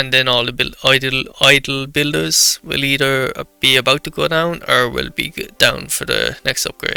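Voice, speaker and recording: A man talks at a moderate pace with hardly any pauses. Music plays in the background. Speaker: gaming YouTuber. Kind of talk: gameplay commentary. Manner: halting.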